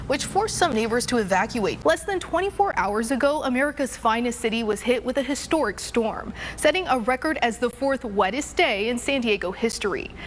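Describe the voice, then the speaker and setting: A high-pitched woman's voice with very wide pitch swings at a fairly quick pace, hardly any pauses, and noticeable background noise. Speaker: TV news anchor, weather anchor and reporter. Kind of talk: local TV news anchor read.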